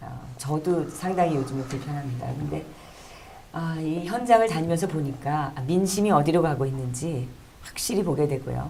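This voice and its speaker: A woman speaks with a very deep, low pitch and big swings in loudness. Noticeable background noise and audible room echo fill the recording. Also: ordinary pitch variation, moderate pace. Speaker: talk show host. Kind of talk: monologue introduction. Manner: hesitant with fillers.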